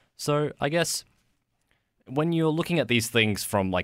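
With lively intonation, a normal speaking voice moves along at a moderate pace. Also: man. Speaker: podcast co-host. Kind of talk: casual chat.

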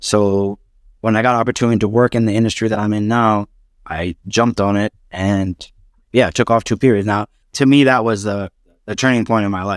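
An unremarkable speaking voice with an American accent moves at a fairly quick pace and fairly even intonation in a very clean recording with a silent background and a dry, close sound with no echo. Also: man, fairly low pitch for a man. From US Northeast (New York, Pennsylvania). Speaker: salesperson turned entrepreneur. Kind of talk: interview.

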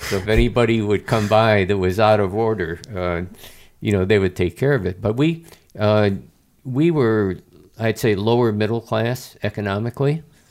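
A man with an American accent and a plain, everyday voice, fairly low pitch, ordinary pitch variation and moderate pace, on a very clean recording with a silent background. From Chicago, US Midwest. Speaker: retired army general. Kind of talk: interview conversation.

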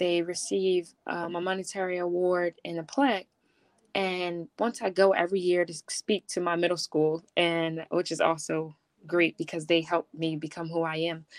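Heard in a very clean recording with a silent background and a dry, close sound with no echo, the speaker has an American accent, fairly even intonation and a moderate pace. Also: woman, fairly low pitch for a woman. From Philadelphia. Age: 20s. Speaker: college athlete and nonprofit founder. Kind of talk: interview. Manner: hesitant with fillers.

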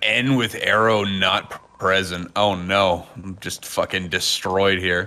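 A man's fairly low voice at a very slow pace with hardly any pauses, amid noticeable background noise. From Canada. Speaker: tabletop game player. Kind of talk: actual play tabletop game.

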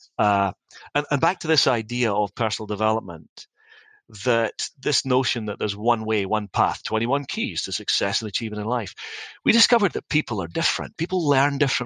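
With a Scottish accent, a man talks fairly quickly at a medium pitch, his tone bright and sharp and his intonation lively, in a dry, close sound with no echo against a quiet background. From Scotland; Dundee, Scotland. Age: 50s. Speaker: company CEO. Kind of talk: podcast interview, storytelling.

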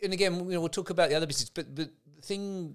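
With an English accent, a man speaks on a very clean recording against a silent background. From England. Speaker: podcast host. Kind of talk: casual interview chat.

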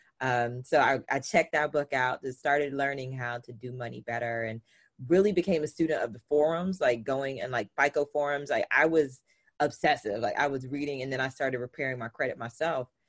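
In a Southern US accent, a woman speaks at a very deep, low pitch and a fairly quick pace. Her pitch varies in an ordinary way, her loudness swings widely, and the sound is dry and close with no echo. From US South. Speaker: personal finance entrepreneur. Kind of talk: interview.

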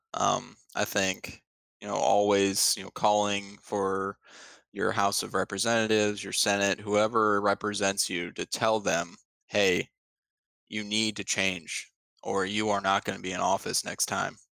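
On a very clean recording with a silent background, a man with a Midwestern American accent talks fairly slowly in a fairly low, bright, sharp voice with monotone, flat intonation. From Ohio. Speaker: podcast co-host. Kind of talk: casual chat. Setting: home basement.

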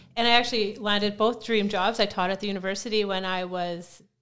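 With a Canadian prairie accent, a woman talks very fast at medium pitch with fairly even intonation on a very clean recording with a silent background. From Saskatchewan, Canada. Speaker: gym coach. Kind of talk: casual interview chat.

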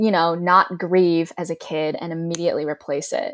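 A woman with an Ohio accent speaks at a fairly low pitch with fairly even intonation. The recording is very clean, with a silent background. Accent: general American, Ohio. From Cleveland, Ohio. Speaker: actor and ASL interpreter. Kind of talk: casual interview.

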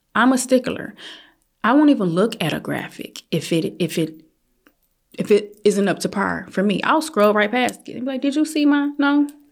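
Using a normal speaking voice, a woman talks at a moderate pace, her fairly high pitch carried by lively intonation. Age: 40s. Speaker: photographer. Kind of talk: casual interview.

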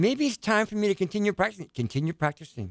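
A man talks at a fairly quick pace with lively intonation. The recording is very clean with a silent background, and the sound is dry and close with no echo. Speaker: radio show regular guest. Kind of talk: casual chat. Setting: studio.

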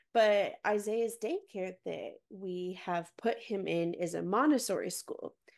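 On a very clean recording with a silent background, a woman speaks in a normal speaking voice at a medium pitch with ordinary pitch variation. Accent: American. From Texas, Dallas suburbs. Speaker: nonprofit worker and mother. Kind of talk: casual interview chat.

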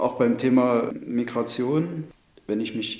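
A man is speaking. Audible room echo follows his voice. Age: 30s. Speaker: city councillor and police officer. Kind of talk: interview.

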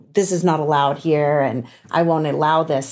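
A woman does a put-on character voice, raspy and very deep, at a moderate pace. Her intonation is fairly even and her loudness very even. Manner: strict, firm.

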